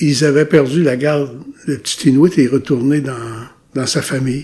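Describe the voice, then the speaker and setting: This man's voice sits fairly high and sounds somewhat breathy. He talks at a fairly slow pace with ordinary pitch variation. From Quebec, Ilnu community of Mashteuiatsh, Lac-Saint-Jean. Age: 70s. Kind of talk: interview, life story. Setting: recorded at his home community. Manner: hesitant, many repetitions and fillers.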